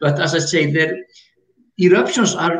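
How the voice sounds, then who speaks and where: Speaking at a moderate pace, a man has an Icelandic accent. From Iceland (north, lake area). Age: 60s. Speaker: retired geologist and tour guide. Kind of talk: interview explanation.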